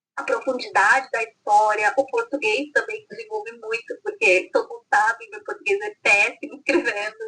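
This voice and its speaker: A woman speaks in a raised, projected voice, high-pitched with a bright, sharp tone, at a moderate pace with very wide pitch swings and big swings in loudness. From France (Provence). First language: French (speaking Portuguese). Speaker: author. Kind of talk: casual interview.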